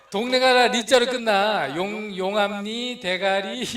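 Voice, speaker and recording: A man speaks at a very slow pace with a high pitch. Audible room echo surrounds his voice. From Korea, Chungcheong (North Chungcheong, Boeun). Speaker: missionary pastor. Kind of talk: sermon. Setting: church. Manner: slow speech.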